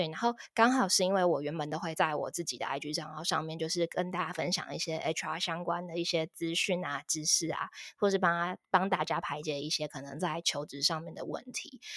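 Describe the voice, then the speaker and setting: A woman's fairly low voice with ordinary pitch variation. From Taiwan, Taipei. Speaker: career consultant, former HR recruiter. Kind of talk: interview. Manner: frequent fillers and hesitations.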